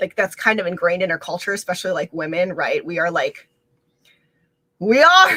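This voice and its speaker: At a fairly quick pace but with long, frequent pauses, a woman talks at medium pitch with ordinary pitch variation, and the sound is dry and close with no echo. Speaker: mental health content creator and dancer. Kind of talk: casual livestream talk. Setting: home livestream, windows open. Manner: loud; hesitant with many fillers.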